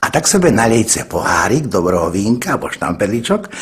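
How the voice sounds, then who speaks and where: With an eastern Slovak accent, a man speaks at a medium pitch using very wide pitch swings over noticeable background noise. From eastern Slovakia. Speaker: comic storyteller. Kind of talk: humorous monologue to an audience.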